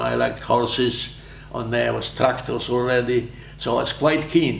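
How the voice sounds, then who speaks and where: A man with a Polish accent speaks at a medium pitch and a moderate pace. There is audible room echo and noticeable background noise. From Poland. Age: 90s. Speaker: war veteran. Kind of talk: interview. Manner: halting.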